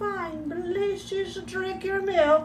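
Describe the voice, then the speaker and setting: A put-on character voice, squeaky and soft-spoken, goes at a fairly slow pace. Background noise is clearly present. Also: female-sounding voice. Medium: read story. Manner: soft, soothing.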